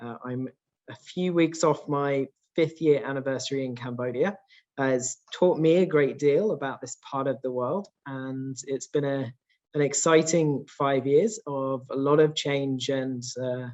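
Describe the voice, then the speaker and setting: With a British accent, a man speaks at a fairly slow pace and fairly high pitch, his intonation fairly even but his loudness swinging widely. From UK. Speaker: real estate executive. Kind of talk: conference presentation. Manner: hesitant fillers, frequent uh and um.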